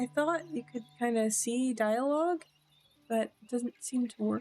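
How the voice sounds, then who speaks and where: Here is a woman with a high pitch and a dark, mellow tone. Her pitch swings very widely. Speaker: gameplay streamer. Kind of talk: casual gameplay commentary. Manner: halting. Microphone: audio issues in first recording.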